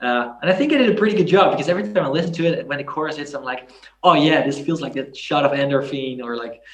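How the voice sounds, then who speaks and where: With a Dutch accent, a man talks at a very fast pace. His voice is fairly high, with ordinary pitch variation. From Netherlands, Groningen. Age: 20s. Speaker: singer and YouTuber. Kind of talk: interview. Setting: video call.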